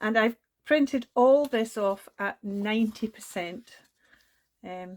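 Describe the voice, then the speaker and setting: A woman with a Scottish accent and fairly high pitch at a very slow pace, with ordinary pitch variation, big swings in loudness and a dry, close sound with no echo. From Scotland. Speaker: crafting YouTuber. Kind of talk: tutorial. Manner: animated.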